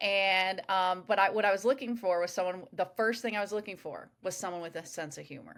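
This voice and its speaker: A woman with a normal speaking voice talks at a medium pitch and a fairly quick pace, with ordinary pitch variation, big swings in loudness and hardly any pauses. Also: very clean recording, silent background. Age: 40s. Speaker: podcast host. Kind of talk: casual chat.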